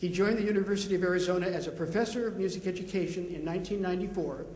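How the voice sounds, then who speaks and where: The speech moves at a very fast pace. Audible room echo and noticeable background noise fill the recording. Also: man. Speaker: panel moderator, music teacher. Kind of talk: panel introduction.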